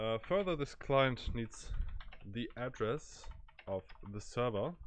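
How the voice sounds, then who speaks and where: A man with a German accent speaks at a very slow pace, his medium-pitched voice carrying lively intonation. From Germany. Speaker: programming tutor. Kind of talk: tutorial. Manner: halting, many fillers.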